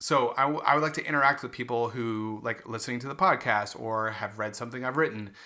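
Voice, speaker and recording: A very fast, medium-pitched male voice with a bright, sharp tone, ordinary pitch variation and hardly any pauses. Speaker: podcast co-host. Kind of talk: casual chat. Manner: halting, occasional stutter.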